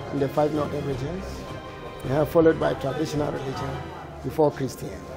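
Clear music sits in the background. Over it, a man talks. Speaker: interviewee. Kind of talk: interview answer. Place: hall.

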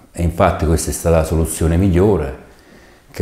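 A man with a very deep, low voice speaks amid audible room echo. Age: 50s. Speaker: patient. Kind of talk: testimony. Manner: halting. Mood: calm, grateful. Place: studio. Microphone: lapel.

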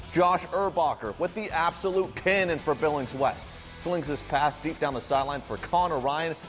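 Faint music plays behind a man with an American accent who speaks in an upbeat tone at a moderate pace. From Montana, USA. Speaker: sports anchor and reporter. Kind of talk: studio anchor broadcast intro and highlights. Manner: upbeat, punchy.

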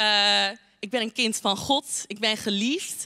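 A woman's fairly high voice, bright and sharp in tone, against a quiet background. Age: 20s. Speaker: youth church speaker; speaker. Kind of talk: short sermon. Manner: talkative, many filler words. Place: hall. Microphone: handheld.

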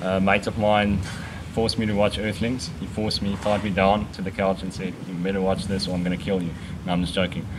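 Fairly quick, monotone, flat male speech at a fairly low pitch, with noticeable background noise. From South Africa, Pretoria; South Africa. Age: 20s. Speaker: vegan cyclist. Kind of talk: casual interview. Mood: relaxed, joking. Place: garden. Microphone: camera far.

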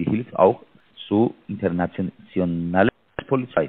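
This is a man speaking with a non-native accent. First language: not German (speaking German). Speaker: scam call center agent. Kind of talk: phone call. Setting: phone call. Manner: halting. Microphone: mic too close to mouth, muffled; phone line.

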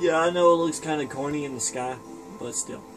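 Clear music plays in the background while a man talks with ordinary pitch variation. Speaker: gamer. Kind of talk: casual gameplay commentary. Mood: playful, joking. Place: home room. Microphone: phone near.

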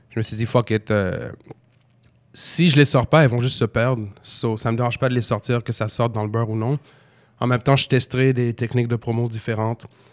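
A man at a fairly quick pace with fairly even intonation, against a quiet background. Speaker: rapper and battle rapper; podcast guest. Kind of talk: casual chat. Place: studio. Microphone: studio mic.

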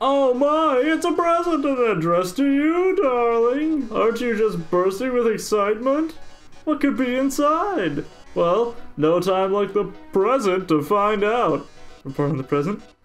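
In a put-on character voice, the speaker uses a fairly high pitch with very wide pitch swings at a moderate pace, and faint music plays in the background. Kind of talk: campy TV presenter. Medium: game stream. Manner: flamboyant, dramatic, flirtatious.

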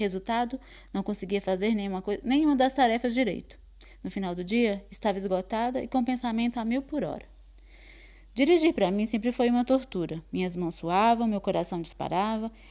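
On a very clean recording with a silent background, a woman speaks fairly quickly in a dark, mellow tone at a fairly high pitch, with ordinary pitch variation. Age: 40s. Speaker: course participant. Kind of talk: testimony.

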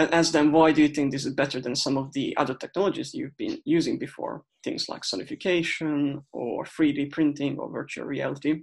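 A man talks at a fairly quick pace with hardly any pauses. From Hungary. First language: Hungarian. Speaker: researcher. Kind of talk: presentation. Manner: halting.

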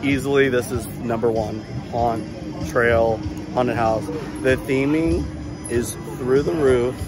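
Clear music plays behind a man who speaks very slowly with ordinary pitch variation, the sound dry with no echo. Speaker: travel vlogger. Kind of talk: casual vlog chat. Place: market. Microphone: phone near.

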